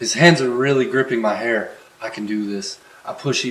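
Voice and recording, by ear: Natural-voiced reading aloud, the pitch varying in an ordinary way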